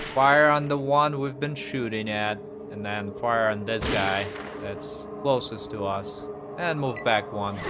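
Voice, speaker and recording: A man with a non-native accent speaks at a fairly slow pace and medium pitch, with ordinary pitch variation, amid noticeable background noise and audible room echo. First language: not English. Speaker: gaming youtuber. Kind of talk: let's play commentary. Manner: casual, with filler words.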